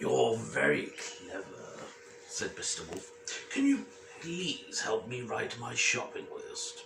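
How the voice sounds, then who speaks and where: A put-on character voice at a fairly slow pace over clear background noise. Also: man. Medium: read story. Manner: polite, mild.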